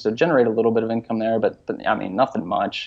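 A man with an American accent and an ordinary speaking voice talks at a fairly quick pace with a medium pitch. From Pittsburgh, US. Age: 30s. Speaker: professional triathlete and coach. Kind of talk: interview.

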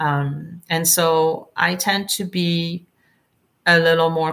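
A woman with a French accent speaks in a very deep, low voice with fairly even intonation. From France, Provence. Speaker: winemaker. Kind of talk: interview. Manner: halting.

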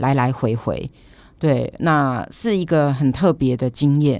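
A woman's very deep, low pitch at a fairly slow pace, with ordinary pitch variation, in a very clean recording with a silent background. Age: 50s. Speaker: street dance hobbyist, former journalist. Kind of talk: casual interview chat.

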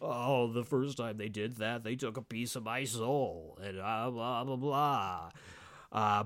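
A man puts on a whiny character voice at a medium pitch, speaking fairly slowly. The recording is very clean, with a silent background. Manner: super dramatic, whiny, mocking.

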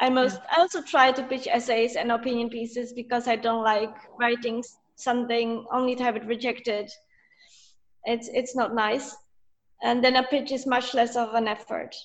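A woman with a Polish accent speaks at a moderate pace in a high voice. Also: fairly even intonation. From Poland. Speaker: freelance writer and journalist. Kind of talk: interview.

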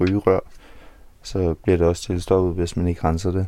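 A man's very deep, low voice with a dark, mellow tone and monotone, flat intonation. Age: 20s. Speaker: homeless man. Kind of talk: interview. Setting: outdoors.

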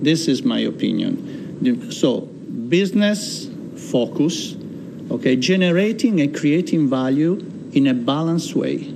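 With an Italian accent, a man speaks fairly slowly at a fairly high pitch, his pitch swinging very widely and his loudness very even, leaving long, frequent pauses amid audible room echo and noticeable background noise. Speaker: chamber of commerce chairman. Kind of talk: interview. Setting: studio.

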